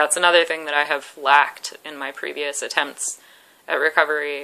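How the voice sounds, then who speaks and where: Speaking in a monotone, flat intonation with vocal fry, a woman shows big swings in loudness. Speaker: vlogger in eating disorder recovery. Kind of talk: personal vlog. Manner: halting.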